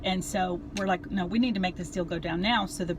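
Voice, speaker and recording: Background noise is noticeable as a woman talks at a fairly quick pace. Her pitch is medium, with ordinary variation. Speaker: realtor. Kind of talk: casual advice vlog. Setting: in a car. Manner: fast.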